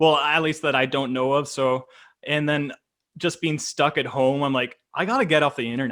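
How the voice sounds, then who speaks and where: In a Canadian accent, a man with a plain, everyday voice talks at a moderate pace, fairly high in pitch, with fairly even intonation. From Canada. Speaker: YouTube reaction creator. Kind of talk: casual chat.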